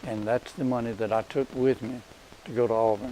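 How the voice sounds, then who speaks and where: A man with an Alabama accent, medium in pitch, with fairly even intonation over noticeable background noise. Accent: Southern US (Alabama). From Crenshaw County, Alabama. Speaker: Auburn alumnus, great-grandfather. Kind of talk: interview answer.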